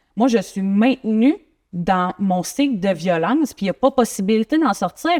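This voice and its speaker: A woman with a Quebec accent speaks at a fairly slow pace with lively intonation and fairly high pitch, in a very clean, dry, close recording with no echo and a silent background. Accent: Québécois French. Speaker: guest sharing personal story. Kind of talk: interview testimony.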